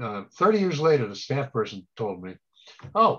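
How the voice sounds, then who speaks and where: Very wide pitch swings mark a man's speech, which sounds somewhat breathy. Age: 70s. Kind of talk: presentation Q&A.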